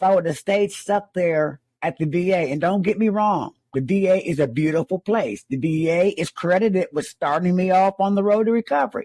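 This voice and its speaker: At a moderate pace, a man talks with a high pitch and ordinary pitch variation, the sound dry and close with no echo. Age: 60s. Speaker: army veteran sharing recovery story. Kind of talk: testimony. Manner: halting, repeats words.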